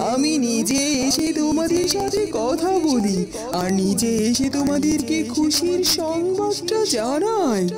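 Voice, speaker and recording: Over loud background music, a cartoonish character voice speaks at a very slow pace. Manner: calm, kindly.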